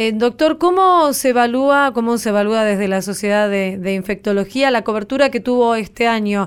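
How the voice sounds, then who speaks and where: A woman's fairly high voice, an ordinary speaking voice with ordinary pitch variation, at a moderate pace, on a very clean recording with a silent background. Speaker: radio health show host. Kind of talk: radio interview.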